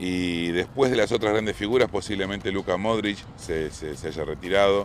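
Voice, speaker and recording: A man's very deep, low voice, with ordinary pitch variation, proceeds at a moderate pace. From Argentina. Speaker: sports correspondent. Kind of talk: casual discussion.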